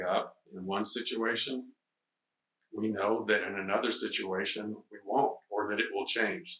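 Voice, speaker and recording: A man's fairly low voice, fairly slow, with fairly even intonation. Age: 60s. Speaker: Zen teacher. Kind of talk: dharma talk. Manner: hesitant, many fillers.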